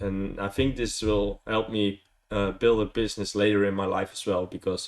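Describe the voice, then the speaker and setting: A man with a Dutch accent speaks at a moderate pace in a fairly low pitch. His intonation is monotone and flat. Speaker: vlogger. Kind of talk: casual vlog, unscripted. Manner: hesitant, many fillers.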